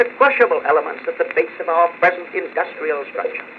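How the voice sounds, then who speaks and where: With noticeable background noise, a man speaks in an American accent at a moderate pace. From United States. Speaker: politician giving a public speech. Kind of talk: political speech, oratory. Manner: forceful, emphatic.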